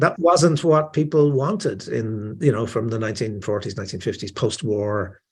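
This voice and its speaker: A man with a Dublin accent speaks at a moderate pace and a medium pitch, with hardly any pauses and lively intonation. His voice is somewhat breathy, and the background is quiet. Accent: Dublin Irish. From Ireland, Dublin. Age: 60s. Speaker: author. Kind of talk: interview. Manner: halting, many fillers and repetitions.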